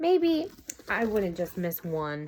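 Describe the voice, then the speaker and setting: A woman's put-on character voice at a medium pitch. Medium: read story.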